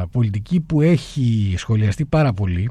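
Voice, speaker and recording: A man's voice has a dark, mellow tone at a medium pitch. His pitch swings very widely. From Crete, Heraklion. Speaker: lawyer, human rights organisation president. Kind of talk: radio interview.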